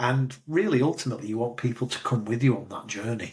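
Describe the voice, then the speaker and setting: Somewhat breathy, a man's voice moves at a moderate pace with fairly even intonation. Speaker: career coach. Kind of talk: interview.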